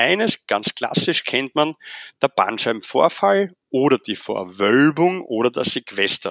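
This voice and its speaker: With a Viennese accent, a man speaks at a fairly slow pace and fairly high pitch, his voice making very wide pitch swings in a dry, close sound with no echo. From Vienna, Austria. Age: 40s. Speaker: physiotherapist. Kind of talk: interview.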